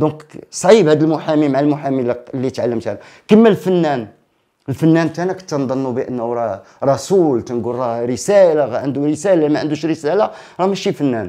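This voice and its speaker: At a moderate pace, a man talks with lively intonation, a fairly high pitch and a dark, mellow tone. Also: quiet background. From Morocco, Casablanca old medina; Morocco. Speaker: theatre director and actor; guest. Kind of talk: casual interview. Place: studio.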